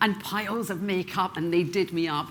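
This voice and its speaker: A woman with a slight Scottish accent, fairly low in pitch, at a moderate pace. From Scotland, Glasgow. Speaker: professional speaker. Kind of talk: keynote talk.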